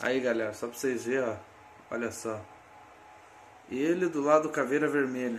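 The speaker uses ordinary pitch variation with long, frequent pauses, and audible room echo surrounds the voice. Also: man, medium pitch for a man, moderate pace. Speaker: collectibles YouTuber. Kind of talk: product review. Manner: casual, enthusiastic.

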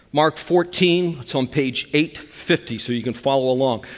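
With ordinary pitch variation, a man speaks at a fairly slow pace against a quiet background. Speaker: preacher. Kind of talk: sermon. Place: church. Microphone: headset.

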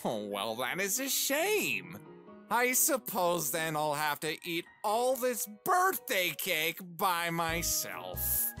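Over clear background music, a man puts on a character voice, high-pitched and very slow. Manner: teasing, playful.

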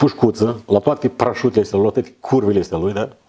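His speech moves at a fairly quick speed. The man's pitch is fairly low and varies in an ordinary way. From Moldova. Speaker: guest or co-host. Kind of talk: casual chat. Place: studio.

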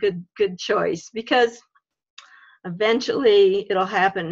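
A woman speaks at a moderate pace over a quiet background. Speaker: religious education facilitator. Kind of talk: video call workshop facilitation. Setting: video call. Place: home room. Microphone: video call.

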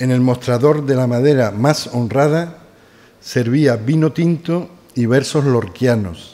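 This man's pitch is medium, with ordinary variation. He speaks at a very slow pace and keeps his loudness very even. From Seville, Spain; Spain. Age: 60s. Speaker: doctor and author. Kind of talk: reading aloud from own book. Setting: live event with audience. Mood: nostalgic, lyrical. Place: hall. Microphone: podium.

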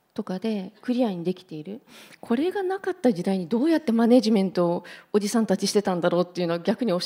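A woman speaks at a very fast pace with a dark, mellow tone. Her pitch swings very widely and her loudness shifts a lot. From Japan, Hiroshima; Japan. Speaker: entrepreneur; panelist. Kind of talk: panel discussion. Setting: stage with audience. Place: hall. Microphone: handheld.

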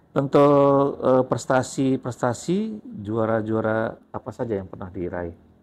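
The man's delivery is fairly slow, and his pitch varies in an ordinary way. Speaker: teacher and interviewer. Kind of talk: casual interview. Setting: school library. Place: studio. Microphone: lapel.

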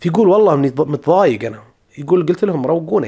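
A man talks at a fairly quick pace in a fairly high pitch, with vocal fry and lively intonation over a quiet background. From Saudi Arabia. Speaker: study-abroad advice YouTuber. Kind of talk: tutorial. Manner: casual, conversational. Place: home room. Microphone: studio mic.

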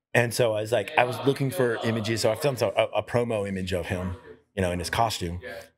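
A man talks at a very fast pace, at a medium pitch with ordinary pitch variation. There is noticeable background noise. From Houston, Texas. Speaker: artist and game creator; podcast guest, game creator. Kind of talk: casual chat. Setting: brewery. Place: bar. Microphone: handheld.

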